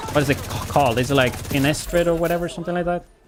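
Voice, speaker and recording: A man's very fast speech amid noticeable background noise. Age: 30s. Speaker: gaming streamer. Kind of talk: casual chat. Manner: casual, chatty.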